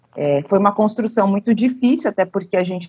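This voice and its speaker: A somewhat breathy woman's voice at a medium pitch and moderate pace. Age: 40s. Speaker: cultural producer and policy researcher. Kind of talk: interview.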